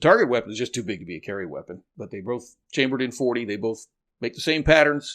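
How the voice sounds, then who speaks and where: Recorded very cleanly over a silent background, a man uses a normal speaking voice at a medium pitch with lively intonation. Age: 60s. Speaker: navy veteran and firearms owner. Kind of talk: podcast interview.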